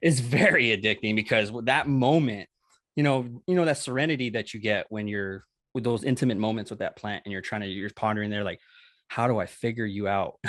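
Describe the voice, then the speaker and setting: Over a quiet background, a man with an American accent talks at a fairly quick pace, his medium pitch showing ordinary variation. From Southern California, Los Angeles area. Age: 30s. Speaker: cannabis grower. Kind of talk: casual interview. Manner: hesitant, many fillers.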